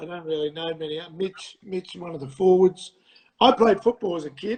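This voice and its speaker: Talking at a moderate pace with an Australian accent, a man with a high pitch shows ordinary pitch variation and big swings in loudness. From Australia, Adelaide. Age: 60s. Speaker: pilot and panel beater, fan guest. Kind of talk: casual interview chat. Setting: livestream call. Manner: halting, many fillers.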